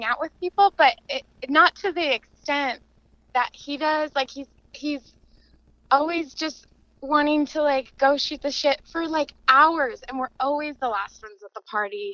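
The voice is raised and projected, with big swings in loudness. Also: woman. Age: 20s. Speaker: caller seeking relationship advice. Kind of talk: casual chat.

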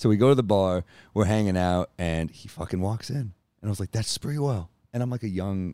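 A man with a New York accent talks in a very deep, low voice. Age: 30s. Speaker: stand-up comedian. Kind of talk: casual chat. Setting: in person at the host's home.

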